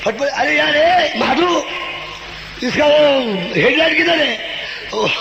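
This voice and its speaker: A man talks over noticeable background noise. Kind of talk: political rally speech with humorous storytelling. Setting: rally PA system, public stage. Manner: humorous, witty, performing for a crowd.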